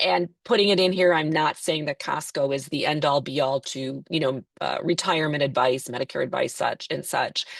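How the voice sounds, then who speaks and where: Very deep and low for a woman, her voice has ordinary pitch variation, hardly any pauses and a dry, close sound with no echo. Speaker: Medicare insurance agent. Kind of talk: webinar presentation. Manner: fast.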